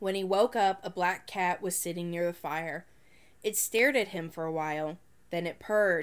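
A woman's fairly low voice at a moderate pace with ordinary pitch variation. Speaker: storytelling channel narrator. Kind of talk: ghost story read aloud from a children's horror book. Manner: measured, suspense-building narration with pauses; playful, breaks into a laugh at the punchline. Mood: spooky storytelling tone. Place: home room. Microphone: phone near.

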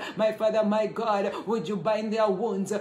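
A man with a high pitch speaks in a warm, animated tone, with audible room echo and light background noise. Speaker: prayer leader. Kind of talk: fervent intercessory prayer, live online. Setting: live online prayer session, away from home. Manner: fervent, repetitive, praise-filled, pleading; warm, animated greeter. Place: home room. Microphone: phone near.

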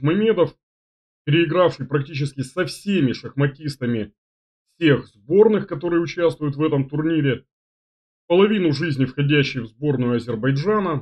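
Against a quiet background, a man talks at a moderate pace with ordinary pitch variation and long, frequent pauses. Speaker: chess commentator, stream host. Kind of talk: casual announcement to viewers. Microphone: webcam.

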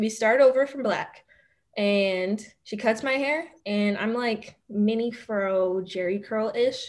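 A woman with a Philadelphia accent talks at a very slow pace. Her pitch is fairly high, with ordinary pitch variation. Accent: Philadelphia American English. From Philadelphia, Manayunk and Roxborough area. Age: 20s. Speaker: law student; podcast guest. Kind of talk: casual interview chat. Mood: candid, animated storytelling. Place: home room. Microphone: video call.

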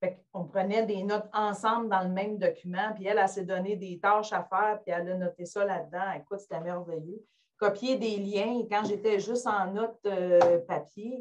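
A woman's medium-pitched voice keeps fairly even intonation and moves at a moderate pace. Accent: Quebec. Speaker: educator attending webinar. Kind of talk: webinar discussion. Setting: video call.

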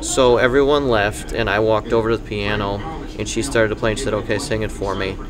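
A man talks while noticeable background noise runs underneath. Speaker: podcast guest. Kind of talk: interview answer. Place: cafe. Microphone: studio mic.

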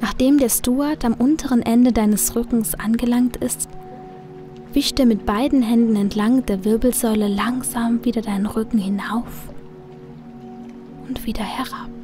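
Against music in the background, a woman with a fairly high pitch speaks in a calm, soothing tone with fairly even intonation and long, frequent pauses. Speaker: audiobook narrator / hypnosis reader. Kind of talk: hypnotic guided relaxation, sleep dream journey. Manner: slow, calm, soothing.

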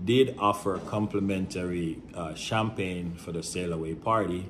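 A man speaks at a very deep, low pitch and a fairly slow pace. Light background noise can be heard. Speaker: travel agent vlogger. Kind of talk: casual vlog chat. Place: home room. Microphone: phone near.

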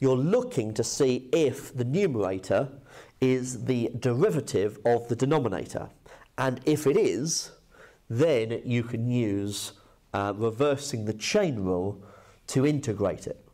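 A man's dark, mellow voice at a fairly slow pace, with ordinary pitch variation and a quiet background. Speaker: maths teacher. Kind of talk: lecture. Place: classroom.

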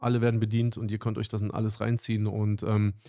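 A man talks at a moderate speed, with a quiet background behind him. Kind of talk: casual livestream chat. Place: studio. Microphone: studio mic.

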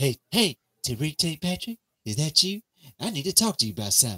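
A man speaks in a put-on character voice at a fairly quick pace. His fairly high pitch swings very widely.

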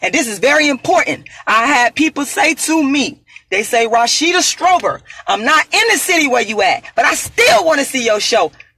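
Raising and projecting her voice, a woman speaks at a moderate pace in a high, bright, sharp tone with very wide pitch swings. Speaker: activist, author and performer. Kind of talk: angry rant, boastful self-promotion. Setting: on the road, solo video. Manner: loud, defiant, emphatic.

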